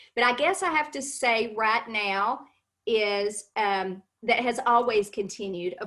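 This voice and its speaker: In a Kentucky accent, a woman speaks at a fairly slow pace with a fairly high pitch and ordinary pitch variation. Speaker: cosmetics sales consultant. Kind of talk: interview on a live stream.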